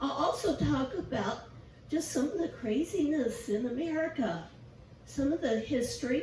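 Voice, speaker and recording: Amid noticeable background noise and audible room echo, a woman speaks at a high pitch with lively intonation. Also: moderate pace, very even loudness. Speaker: guest preacher. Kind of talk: sermon.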